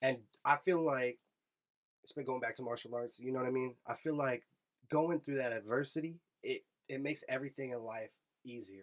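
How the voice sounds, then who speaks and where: A man with an American accent speaks at a fairly quick pace in a medium pitch, his intonation fairly even and broken by long, frequent pauses. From US West Coast, San Francisco Bay Area. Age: 30s. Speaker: podcast host. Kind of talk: casual chat.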